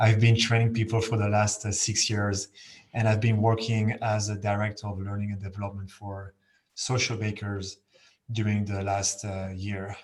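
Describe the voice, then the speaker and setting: Somewhat breathy and fairly low in pitch, a man speaks at a moderate pace with monotone, flat intonation in a very clean recording with a silent background. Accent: French. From France. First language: French. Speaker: learning and development director. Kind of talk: panel discussion.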